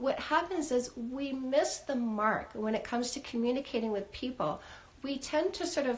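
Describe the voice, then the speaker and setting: A woman's high-pitched voice with ordinary pitch variation. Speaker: dating coach. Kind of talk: live stream advice talk. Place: home room.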